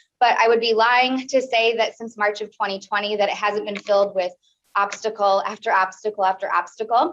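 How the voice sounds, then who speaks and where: In a Midwestern American accent, a woman talks at a fairly quick pace with a fairly high pitch. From US Midwest, Peoria, Illinois. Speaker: small business owner and college teacher. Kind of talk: speech to a club meeting. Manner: fast; animated.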